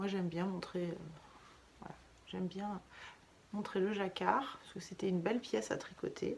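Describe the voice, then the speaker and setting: Soft-spoken and at a medium pitch, a woman talks at a moderate pace with long, frequent pauses, fairly even intonation and big swings in loudness. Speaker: knitting vlogger. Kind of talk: casual vlog chat. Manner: hesitant, many fillers.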